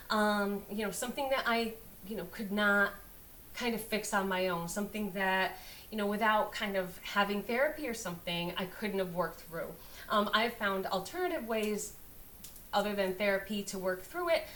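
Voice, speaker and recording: In a room with audible echo, a woman talks at a moderate pace, her medium pitch showing ordinary variation. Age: 50s. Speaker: astrologer. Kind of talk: casual astrology talk to camera. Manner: casual, hesitant with many fillers.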